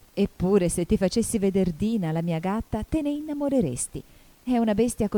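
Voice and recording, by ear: The speaker reads aloud in a natural voice with lively intonation.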